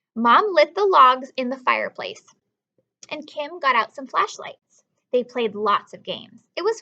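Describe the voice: A woman speaks at a high pitch with big pitch swings. Her tone is bright and sharp, her pace fairly slow.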